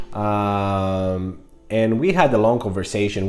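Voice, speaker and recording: An animated voice with a Greek accent, audible room echo and music in the background. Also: man. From Greece (Crete). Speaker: vlogger. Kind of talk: casual vlog monologue. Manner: animated, many fillers.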